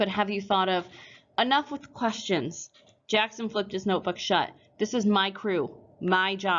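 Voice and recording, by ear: Intonation stays fairly even as the text is read out in a natural voice.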